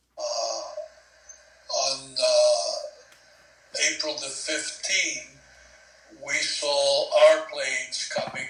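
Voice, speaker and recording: A man talks very slowly, leaving long, frequent pauses, while noticeable noise and an audible room echo surround his voice. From Cuba. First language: Spanish. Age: 70s. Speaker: war veteran. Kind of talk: oral history interview.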